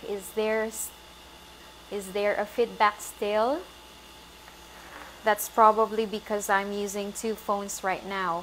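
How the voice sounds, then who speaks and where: A woman speaks at a fairly slow pace and a medium pitch, her intonation monotone and flat. Noticeable background noise runs beneath her voice. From Philippines. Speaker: vegan lifestyle coach. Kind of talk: live stream course launch. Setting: Facebook live stream. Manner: halting.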